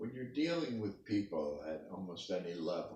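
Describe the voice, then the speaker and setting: Very deep and low, a man's voice with vocal fry moves at a fairly slow pace through very wide pitch swings, with audible room echo. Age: 80s+. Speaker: interviewee, parent of the interviewer. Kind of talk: family interview.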